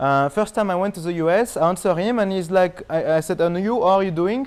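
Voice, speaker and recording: With a French accent, a man speaks at a very fast pace in a high pitch, using ordinary pitch variation. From France. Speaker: marketing expert. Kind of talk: interview.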